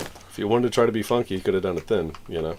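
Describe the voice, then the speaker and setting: With an American accent, a man speaks using ordinary pitch variation. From New York. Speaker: video game streamer. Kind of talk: casual gaming livestream chat.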